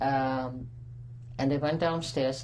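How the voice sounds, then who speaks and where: In a room with audible echo, a woman talks with a very deep, low pitch and fairly even intonation. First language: Dutch. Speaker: Holocaust survivor. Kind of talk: testimony. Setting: recorded interview. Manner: halting.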